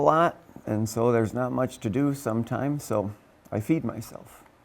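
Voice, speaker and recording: An unremarkable speaking voice from a man, medium in pitch, moderate in pace, with ordinary pitch variation. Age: 60s. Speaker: teacher and pastor. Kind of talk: interview answers.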